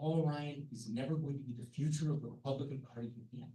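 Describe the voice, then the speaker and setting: A dark, mellow tone with a somewhat breathy quality. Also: man. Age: 70s. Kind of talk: panel discussion. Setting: conference meeting. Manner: animated.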